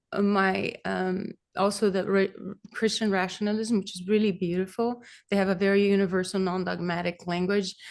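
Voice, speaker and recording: A woman talks at a moderate pace in a monotone, flat intonation and medium pitch. The background is quiet. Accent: Brazilian. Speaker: kirtan singer. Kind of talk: interview answer.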